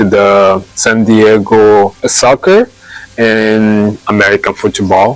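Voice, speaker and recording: A man with a Brazilian Portuguese accent speaks very slowly at a fairly low pitch in a monotone, flat intonation. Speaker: massage therapist. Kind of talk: testimonial interview. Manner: halting.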